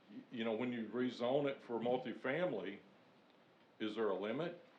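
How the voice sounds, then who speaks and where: A man is speaking. Room echo can be heard. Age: 60s. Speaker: resident giving public comment. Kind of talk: public comment at city meeting. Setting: city planning commission meeting.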